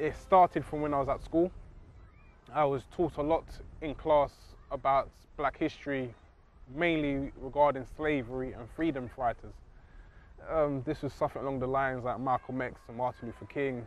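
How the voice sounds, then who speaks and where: Speaking with a London accent at a moderate pace, the voice keeps a fairly even intonation and takes long, frequent pauses. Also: man, fairly high pitch for a man. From England (London). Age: 30s. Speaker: convert to Islam, engineer. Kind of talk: testimony.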